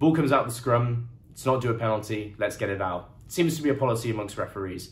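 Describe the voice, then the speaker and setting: A man's somewhat breathy voice at a very fast pace, with audible room echo. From England. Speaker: rugby commentator. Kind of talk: solo game review monologue. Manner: casual, conversational.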